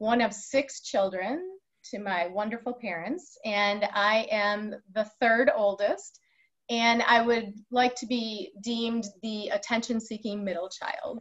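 A woman speaks at a very slow pace in a somewhat breathy voice with ordinary pitch variation. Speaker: guest. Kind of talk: interview answer. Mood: warm, cheerful, laughing. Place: office. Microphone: video call.

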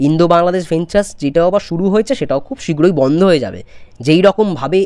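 A man with a fairly high pitch speaks in a dark, mellow tone with lively intonation and big swings in loudness. The background is quiet. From West Bengal, India. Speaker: YouTuber film commentator. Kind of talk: opinion vlog. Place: home room. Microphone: lapel.

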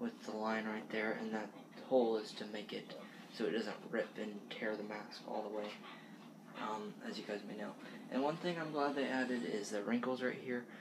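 Noticeable background noise runs under a man speaking at a moderate pace. His pitch varies in an ordinary way. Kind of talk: casual show-and-tell vlog. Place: kitchen. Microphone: webcam.

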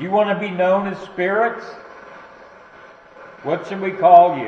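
Delivered at a moderate pace, the speech carries audible room echo and light background noise. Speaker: paranormal investigator. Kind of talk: calling out questions to spirits during a ghost hunt. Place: church. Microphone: camera far.

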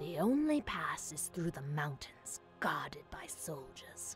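A put-on character voice moves at a fairly slow pace while clear music plays in the background. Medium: game stream. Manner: brusque, self-assured.

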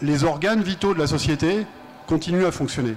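Over light background noise, a man speaks at a high pitch and a moderate pace, with ordinary pitch variation. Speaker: energy think-tank director and author; panelist. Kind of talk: panel debate. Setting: stage with audience at a festival. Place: stage. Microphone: handheld.

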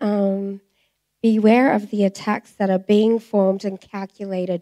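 In an Australian accent, a woman speaks at medium pitch and a fairly slow pace. Her tone is dark and mellow, with monotone, flat intonation over a quiet background. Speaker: church member giving testimony; speaker. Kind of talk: reading aloud a prophetic message; testimony. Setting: church. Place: church. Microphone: handheld.

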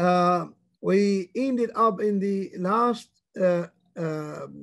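In quiet surroundings, the man's voice holds a high pitch. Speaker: religious teacher. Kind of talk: lecture. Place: home room. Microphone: video call.

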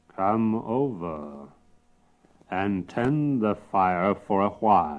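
A man puts on a character voice, pitched fairly low and delivered at a very slow pace. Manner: gruff, commanding.

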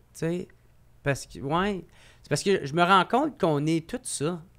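Lively intonation and a high pitch mark a man who speaks at a fairly slow pace. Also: quiet background. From Quebec, Gatineau; Quebec. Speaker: comedian. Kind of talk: casual chat. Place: studio. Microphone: studio mic.

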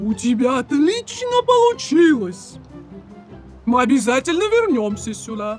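Faint music plays behind a cartoonish character voice that moves at a fairly slow pace with big pitch swings. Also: man, extremely high pitch for a man.

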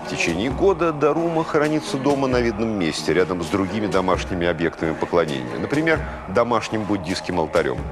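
Over clear music in the background, a man speaks at a fairly low pitch. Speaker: TV presenter. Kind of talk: educational TV narration. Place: studio. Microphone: lapel.

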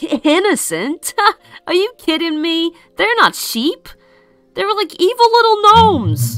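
A put-on character voice speaks with long, frequent pauses. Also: fairly slow pace. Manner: cocky, mischievous.

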